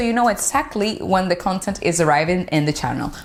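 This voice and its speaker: Noticeable background noise runs through the clip. A woman speaks at a moderate pace. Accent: Dominican. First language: Spanish. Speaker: beauty vlogger. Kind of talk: product review vlog.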